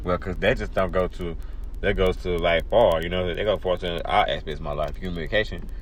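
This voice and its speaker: The voice moves at a fairly quick pace. Audible room echo surrounds it. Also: man. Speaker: podcast host. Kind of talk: casual chat. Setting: live podcast. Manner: halting, many repeated words.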